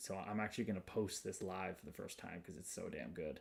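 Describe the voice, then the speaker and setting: This man has a very deep, low voice and a Chicago accent. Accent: Midwest Chicago. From Chicago, US Midwest. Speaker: livestream host. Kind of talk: casual livestream chat. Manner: animated.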